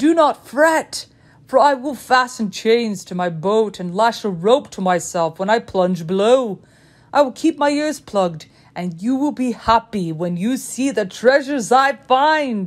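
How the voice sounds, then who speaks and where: In a gruff, put-on character voice, a woman speaks at a moderate pace with a fairly high pitch and lively intonation on a very clean recording with a silent background. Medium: read story. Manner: gruff, insistent.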